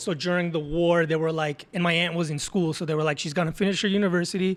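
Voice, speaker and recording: A man with an Israeli accent, high-pitched, at a very fast pace. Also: fairly even intonation. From Israel, after early childhood in Azerbaijan. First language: Hebrew. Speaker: tattoo artist. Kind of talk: casual chat.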